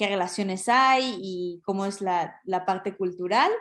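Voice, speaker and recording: In a Mexican accent, a woman speaks fairly slowly at medium pitch with fairly even intonation against a quiet background. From Mexico. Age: 30s. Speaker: lawyer and business development specialist. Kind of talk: talk to an audience. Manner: hesitant, many fillers.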